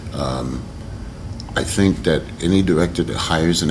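With an American accent, a man speaks at a very deep, low pitch with ordinary pitch variation over noticeable background noise. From United States. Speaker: actor. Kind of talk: interview answer. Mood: relaxed, reflective. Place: hall. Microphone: camera far.

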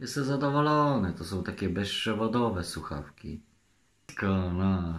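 Speaking very slowly, a man still keeps his intonation lively. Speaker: vlogger. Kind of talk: casual vlog chat. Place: home room. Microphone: phone near.

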